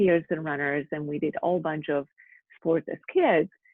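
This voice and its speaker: A woman speaks with a Slovak accent. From Slovakia. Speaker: physical therapist. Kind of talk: interview.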